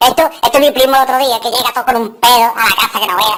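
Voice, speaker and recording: A cartoonish character voice rattles along at a very fast pace with a fairly high pitch. Light background noise is present. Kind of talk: joke telling, comedy monologue. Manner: lively, crude, humorous.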